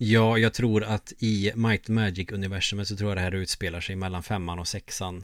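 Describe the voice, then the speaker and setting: On a very clean recording with a silent background, a man talks at a moderate pace with hardly any pauses, his fairly low pitch held in a monotone, flat intonation. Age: 30s. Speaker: podcast co-host, gamer. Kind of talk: casual chat.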